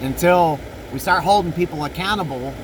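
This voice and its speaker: A man talks fairly quickly in a high pitch, his pitch variation ordinary, while noticeable background noise runs underneath. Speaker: podcast host. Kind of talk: casual monologue. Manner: halting, self-correcting.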